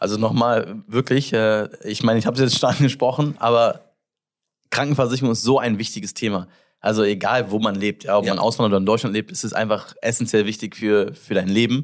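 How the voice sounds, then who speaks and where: This man talks at a fairly quick pace in an English accent, with a medium pitch and fairly even intonation. The recording is very clean, with a silent background. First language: English (speaking German). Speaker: podcast host, entrepreneur. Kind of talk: casual interview chat. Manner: halting, many fillers.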